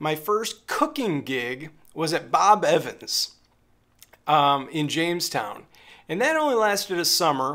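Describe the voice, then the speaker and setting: In a very clean recording with a silent background, a high-pitched man with an American accent speaks at a fairly slow pace, his tone bright and sharp and his intonation lively. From Western New York. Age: 40s. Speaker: musician. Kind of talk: casual storytelling vlog.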